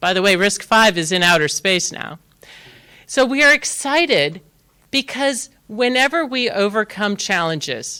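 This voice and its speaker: The voice is loud, with a bright, sharp tone and very wide pitch swings, at a fairly slow pace. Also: woman, medium pitch for a woman. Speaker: tech industry executive giving a keynote. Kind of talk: conference keynote. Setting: stage with live and online audience. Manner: animated.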